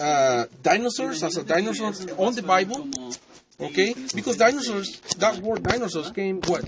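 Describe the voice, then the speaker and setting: A man with a non-native accent and a high pitch speaks at a moderate pace over noticeable background noise. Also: lively intonation. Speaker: debater. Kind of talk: heated debate. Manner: halting.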